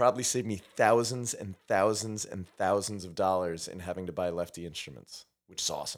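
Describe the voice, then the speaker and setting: A man with an American accent speaks at a fairly low pitch, his loudness swinging widely and his pitch varying in an ordinary way, on a very clean recording with a silent background. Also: fairly quick pace. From New York. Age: 40s. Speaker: science teacher and musician. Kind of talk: casual chat.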